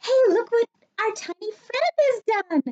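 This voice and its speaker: Putting on a squeaky character voice, a woman speaks fairly slowly at an extremely high pitch with lively intonation. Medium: read story. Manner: kindly, encouraging.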